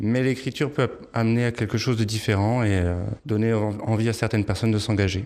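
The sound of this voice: With a slightly mellow tone, a man of fairly low pitch talks at a fairly quick pace and fairly even intonation.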